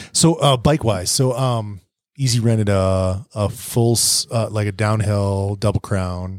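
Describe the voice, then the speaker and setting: In a very clean recording with a silent background, a man with an ordinary speaking voice talks at a fairly slow pace, his pitch fairly low with ordinary variation. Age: 40s. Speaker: podcast host, mountain biker, father. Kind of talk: casual chat. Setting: bike park lodging, evening recording.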